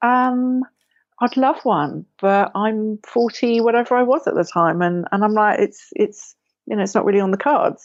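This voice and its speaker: This woman speaks with a southern English accent at a fairly high pitch and a moderate pace. Her intonation is lively and her loudness stays very even. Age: 40s. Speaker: writer and photographer. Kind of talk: podcast interview.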